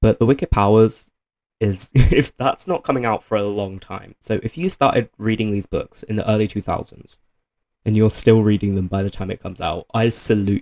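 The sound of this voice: With a slightly mellow tone and fairly low pitch, a man talks at a moderate pace with ordinary pitch variation, the sound dry and close with no echo.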